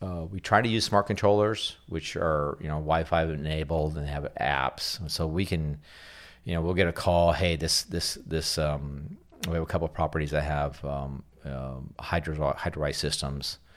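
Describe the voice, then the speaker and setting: Speaking in an American accent, a man with a very deep, low pitch keeps a moderate pace and fairly even intonation. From Bakersfield, California. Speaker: landscape contractor. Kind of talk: interview. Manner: hesitant, many fillers.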